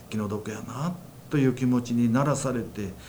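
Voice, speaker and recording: There's audible room echo as a man talks at a moderate pace. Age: 60s. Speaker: church minister, former care worker. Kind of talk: testimony.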